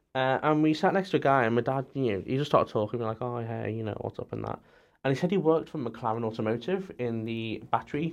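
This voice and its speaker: With a Scouse accent, a man speaks at a very fast pace and medium pitch. His pitch varies in an ordinary way, over a quiet background. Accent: Scouse-leaning northern English. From Merseyside, near Liverpool. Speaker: student racing team business lead. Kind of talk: casual chat. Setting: studio.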